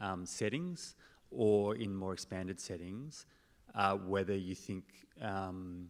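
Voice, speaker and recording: A man with an Australian accent at a very slow pace, on a very clean recording with a silent background. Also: fairly low pitch for a man, ordinary pitch variation. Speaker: audience member asking question. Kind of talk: audience question.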